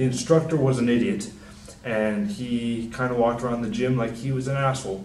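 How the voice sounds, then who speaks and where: A man mumbles at a fairly quick pace amid noticeable background noise and audible room echo. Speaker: personal trainer. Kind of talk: casual talk to camera. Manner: soft-spoken; mumbling.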